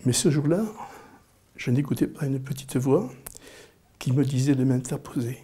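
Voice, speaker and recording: A man's somewhat breathy, dark, mellow voice at a medium pitch, with ordinary pitch variation and a fairly slow pace. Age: 60s. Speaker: interviewee. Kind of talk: personal storytelling. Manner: halting, frequent repetitions.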